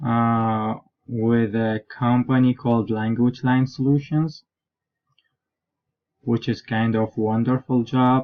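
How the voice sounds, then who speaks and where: With an Iraqi accent, a man speaks very slowly at a medium pitch in a monotone, flat intonation, leaving long, frequent pauses. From southern Iraq. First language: Arabic. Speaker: graduate student and interpreter. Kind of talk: self-introduction. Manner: halting.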